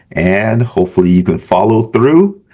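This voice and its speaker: With a Caribbean accent, a man speaks fairly slowly in a fairly low pitch and a dark, mellow tone. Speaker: business professor. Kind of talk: tutorial. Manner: casual, conversational.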